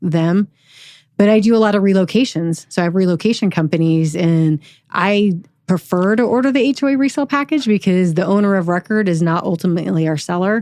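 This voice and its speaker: A woman talks at a fairly quick pace and a medium pitch, with ordinary pitch variation and very even loudness. Her tone is dark and mellow, over a quiet background. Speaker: escrow officer. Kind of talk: interview. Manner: occasionally tongue-tied.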